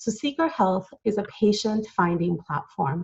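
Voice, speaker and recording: A woman's somewhat breathy voice at medium pitch and a moderate pace. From Latin America. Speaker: entrepreneur and author. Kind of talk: conference talk.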